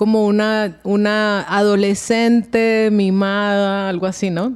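A woman's voice sits at medium pitch. Everything is very clean, and the background is silent. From Venezuela. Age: 30s. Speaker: voice actress and sound specialist. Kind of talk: casual chat.

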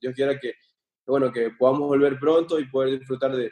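A man speaks at a medium pitch with a dark, mellow tone. The pace is moderate. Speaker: professional footballer. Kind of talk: casual interview.

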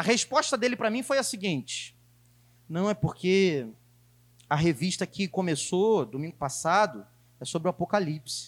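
Very wide pitch swings at a moderate pace, with long, frequent pauses, on a very clean recording with a silent background. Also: man, high pitch for a man. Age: 20s. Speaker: preacher. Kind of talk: sermon.

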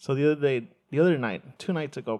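Against a quiet background, a man with a Spanish accent speaks at a fairly quick pace with ordinary pitch variation. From Mexico, moved to US at eleven. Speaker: podcast host, hospitality worker. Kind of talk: casual chat.

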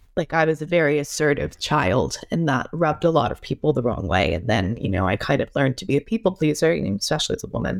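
Rushing at a very fast pace with hardly any pauses, a woman with a very deep, low pitch shows vocal fry and very wide pitch swings. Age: 20s. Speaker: podcast host. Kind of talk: casual interview.

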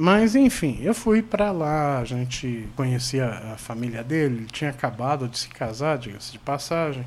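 Man in an unremarkable speaking voice, medium pitch and lively intonation, at a moderate pace with hardly any pauses. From Brazil, mostly São Paulo, Brasília and Paraná. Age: 40s. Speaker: podcast host. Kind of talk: casual chat.

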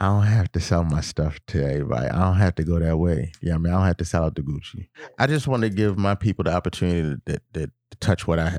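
Very fast and very deep, a man's dark, mellow voice moves with ordinary pitch variation, the sound dry and close with no echo. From Baltimore, Maryland. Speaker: custom suit maker. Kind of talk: casual interview.

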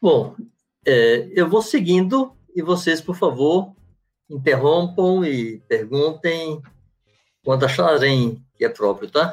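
The speaker goes at a very slow pace with long, frequent pauses and lively intonation. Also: man, fairly high pitch for a man. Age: 60s. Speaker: pastor. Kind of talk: teaching talk.

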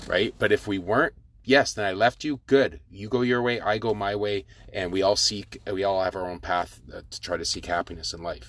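This man has a normal speaking voice, pitched fairly low. He talks at a moderate pace with ordinary pitch variation. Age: 40s. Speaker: podcast host, former prisoner and life coach. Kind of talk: solo podcast monologue. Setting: recording outdoors. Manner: casual, conversational with fillers.

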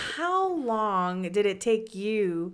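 The voice is loud with an energetic tone. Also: woman. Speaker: podcast co-host. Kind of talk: casual chat.

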